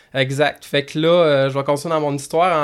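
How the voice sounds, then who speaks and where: Fairly high in pitch and fairly even in intonation, a man talks in an ordinary speaking voice. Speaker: motocross track owner and racer. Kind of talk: casual chat. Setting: studio.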